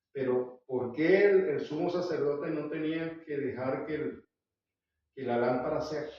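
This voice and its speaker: A man speaks at a moderate pace with a fairly high pitch and ordinary pitch variation. Room echo is audible. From Venezuela. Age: 70s. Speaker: Bible teacher. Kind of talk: Bible study lecture.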